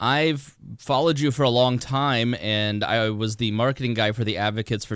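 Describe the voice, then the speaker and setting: Against a quiet background, a man with an Indiana accent talks at medium pitch with ordinary pitch variation. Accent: Hoosier (Indiana). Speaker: podcast host. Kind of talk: interview conversation.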